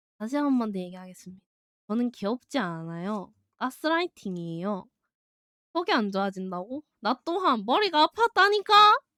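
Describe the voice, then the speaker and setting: Her voice dry and close with no echo, a woman talks at a moderate pace with a fairly high pitch and very wide pitch swings. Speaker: streamer. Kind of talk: live stream Q&A. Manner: chatty.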